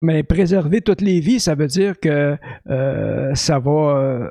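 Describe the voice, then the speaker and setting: This man's voice has a dark, mellow tone at a fairly high pitch with ordinary pitch variation, captured with a dry, close sound and no echo. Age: 60s. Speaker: podcast host. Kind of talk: casual chat. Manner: hesitant, many fillers.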